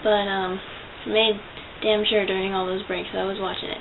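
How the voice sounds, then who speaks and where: A quiet woman, very fast and monotone with flat intonation, amid noticeable background noise and audible room echo. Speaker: vlogger. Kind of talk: casual vlog monologue. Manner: quiet, subdued.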